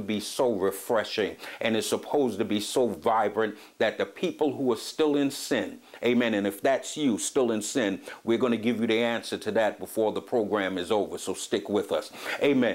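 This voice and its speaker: A man speaks at a moderate pace. His intonation is lively. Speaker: preacher hosting a teaching program. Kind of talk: sermon. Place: home room. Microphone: lapel.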